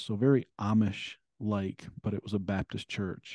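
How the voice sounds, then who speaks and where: With an American accent, a man speaks in a dark, mellow tone at a fairly low pitch and a moderate pace, the sound dry and close with no echo. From Michigan, Ann Arbor area. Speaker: author and abuse survivor advocate. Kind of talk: interview testimony.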